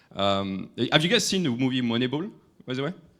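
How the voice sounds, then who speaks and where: With a French accent, a man speaks at a fairly quick pace. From France. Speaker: AI industry expert. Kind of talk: conference talk. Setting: stage with audience. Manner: halting.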